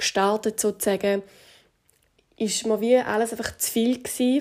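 A woman with a Swiss accent speaks at a moderate pace in a fairly high pitch, her intonation monotone and flat. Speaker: fitness trainer and nutrition coach. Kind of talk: podcast monologue.

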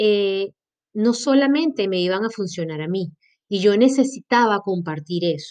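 Lively intonation marks a woman's medium-pitched voice as she speaks at a fairly slow pace. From Venezuela, Maracaibo. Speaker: podcast host and health coach. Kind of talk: personal monologue. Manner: animated.

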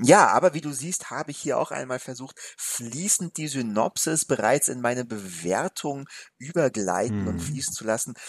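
A man's medium-pitched voice with very wide pitch swings and big shifts in loudness, dry and close with no echo, on a very clean recording with a silent background. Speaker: film podcast co-host. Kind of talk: casual film discussion. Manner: slow and deliberate.

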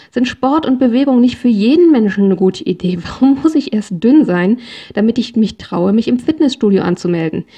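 A woman with a plain, everyday voice speaks at a moderate pace and a fairly high pitch, her loudness very even. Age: 40s. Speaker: podcast host. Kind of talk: solo podcast monologue.

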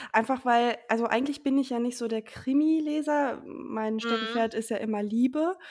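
With hardly any pauses, a woman talks at a moderate pace in a high voice. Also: ordinary pitch variation. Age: 20s. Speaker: author and bookseller. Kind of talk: casual interview chat.

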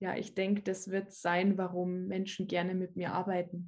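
Speaking at a moderate pace, the woman has a medium pitch and a dark, mellow tone. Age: 20s. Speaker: personal development coach. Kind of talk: casual interview chat.

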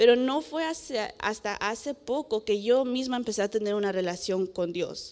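Speaking at a fairly slow pace with hardly any pauses, a woman uses lively intonation at a fairly high pitch. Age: 20s. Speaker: young preacher. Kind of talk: sermon. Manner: halting, many filler sounds.

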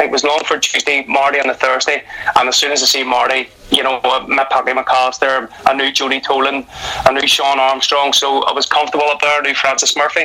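A very fast, monotone delivery with flat intonation in a Northern Irish accent, over noticeable background noise. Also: man, fairly high pitch for a man. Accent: Northern Irish (Belfast). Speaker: retired footballer and football coach. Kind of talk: casual interview.

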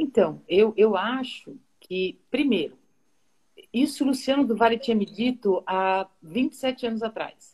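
A somewhat breathy woman's voice, fairly high in pitch, with lively intonation at a very slow pace. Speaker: football play-by-play commentator. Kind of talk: interview on a live stream. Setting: live video stream.

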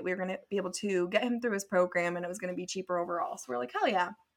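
A woman with an American accent speaks at a medium pitch on a very clean recording with a silent background. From California, near Santa Cruz. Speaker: podcast co-host. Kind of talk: casual chat.

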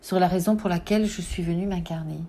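A woman speaks at medium pitch in a dark, mellow tone. Her voice is somewhat breathy and her pitch varies ordinarily. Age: 40s. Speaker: podcast host on symbolism and spirituality. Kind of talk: personal reflective monologue. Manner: hesitant, with fillers and repetitions.

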